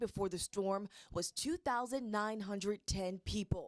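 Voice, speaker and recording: A woman with an unremarkable speaking voice uses ordinary pitch variation at a fairly high pitch. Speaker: news anchor. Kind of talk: local TV news anchor delivery. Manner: clear, polished, broadcast-style.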